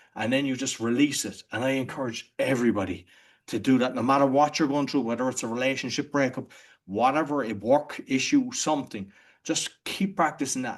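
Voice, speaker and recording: A man speaks with an Irish accent at a fairly quick pace. His pitch is medium, and the background is quiet. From Ireland. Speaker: entrepreneur and podcaster. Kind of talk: interview conversation. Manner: halting, with frequent restarts.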